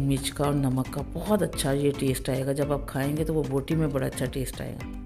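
Over clear music in the background, a woman with a very deep, low pitch speaks at a moderate pace in a monotone, flat intonation. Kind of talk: cooking tutorial narration. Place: kitchen. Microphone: phone near.

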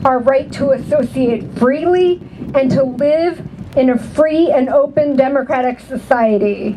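A woman speaks with a high pitch. Her pace is fairly slow, and there is noticeable background noise. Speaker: whistleblower advocate reading a statement at a protest. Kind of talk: rally speech, reading a prepared statement aloud to a cheering protest crowd. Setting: outdoor rally stage with a large crowd, PA system. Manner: declamatory and rousing, punching each line over crowd cheers; pauses for crowd interjections and laughter between sentences. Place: street.

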